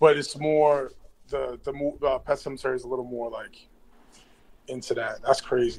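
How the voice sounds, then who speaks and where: A man with an American accent speaks at a moderate pace, with big swings in loudness and long, frequent pauses. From Boston. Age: 30s. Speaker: rapper. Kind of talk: casual chat.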